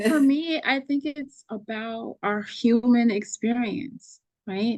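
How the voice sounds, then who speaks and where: In a Haitian accent, a woman talks at a very slow pace with a high pitch and ordinary pitch variation. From US, Haitian immigrant family. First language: Haitian Creole. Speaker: poet and artist. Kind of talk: casual chat.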